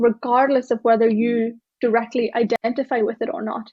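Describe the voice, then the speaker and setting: A high-pitched woman's voice with an Irish accent. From Ireland, small town. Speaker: tech diversity speaker and author. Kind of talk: keynote talk. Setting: stage with live audience.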